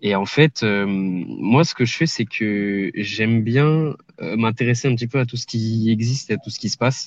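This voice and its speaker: A man's voice with ordinary pitch variation, set against a quiet background. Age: 20s. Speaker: online entrepreneur, scraping specialist. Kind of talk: podcast interview. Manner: hesitant, many filler sounds.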